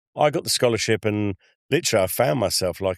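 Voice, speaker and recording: In a quiet background with a dry, close sound and no echo, a man with a fairly low pitch talks at a very fast pace with lively intonation. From Essex, England (Chelmsford). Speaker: travel designer. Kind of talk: casual chat.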